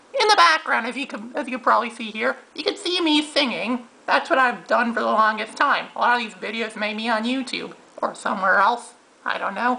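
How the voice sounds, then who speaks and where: A man's cartoonish character voice, extremely high in pitch and fairly quick in pace. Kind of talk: casual rant to camera. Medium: puppet.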